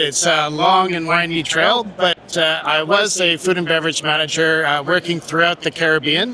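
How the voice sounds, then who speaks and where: Noticeable background noise accompanies a man speaking at a moderate pace. His pitch is high and his intonation fairly even. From Quebec, Montreal. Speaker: hospitality technology manager. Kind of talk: casual interview. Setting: live at trade show. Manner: halting, many fillers.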